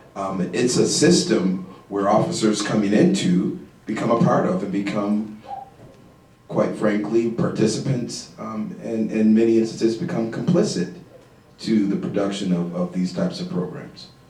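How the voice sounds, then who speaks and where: Audible room echo surrounds a man of fairly low pitch whose voice makes very wide pitch swings. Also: moderate pace. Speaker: panel expert on criminal justice. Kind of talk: panel discussion. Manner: quiet; halting, many fillers.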